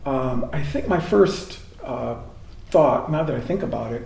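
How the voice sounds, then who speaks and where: With an American accent, a man talks over noticeable background noise in a room with audible echo. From Michigan, US Midwest (Jackson). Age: 60s. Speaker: Jesuit priest. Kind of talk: oral history interview. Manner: hesitant, many fillers.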